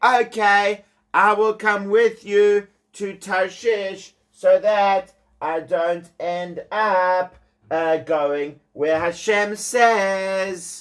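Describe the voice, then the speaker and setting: A put-on character voice at a middle pitch moves at a very slow pace. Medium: read story.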